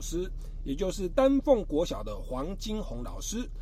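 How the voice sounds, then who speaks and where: A man speaks at a moderate pace with a dark, mellow tone. His pitch swings very widely, and the room echo is audible. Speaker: radio host. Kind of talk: radio talk show interview.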